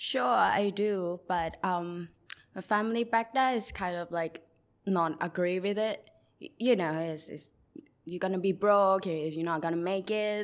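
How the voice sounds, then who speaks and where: A woman speaks with a Thai accent. Her pace is fairly slow. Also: medium pitch for a woman, ordinary pitch variation. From Thailand, Bangkok. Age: 20s. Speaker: mural artist. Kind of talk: interview.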